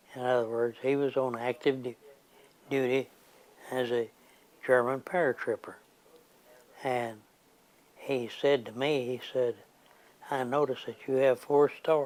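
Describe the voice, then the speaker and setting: Monotone and flat, a man speaks at a medium pitch and fairly slow pace, with long, frequent pauses. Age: 80s+. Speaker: war veteran. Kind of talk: interview answer.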